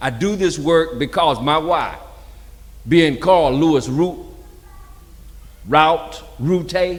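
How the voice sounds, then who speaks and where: A man talks very slowly with vocal fry, and the room echo is audible. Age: 60s. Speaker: community engagement coordinator. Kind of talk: panel talk. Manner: conversational.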